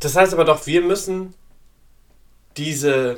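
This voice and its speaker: A man's high voice at a very slow pace. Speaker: podcast host. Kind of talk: casual monologue. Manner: many fillers and hesitations.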